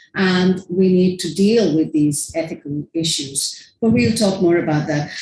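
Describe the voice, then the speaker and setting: A woman speaks at a fairly slow pace with lively intonation and a somewhat breathy voice. Audible room echo surrounds her. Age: 60s. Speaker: filmmaker and academic speaker. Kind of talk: conference presentation. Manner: casual, conversational.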